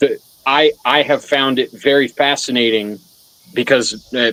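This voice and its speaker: A man speaks loudly. The sound is dry and close, with no echo. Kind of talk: casual chat.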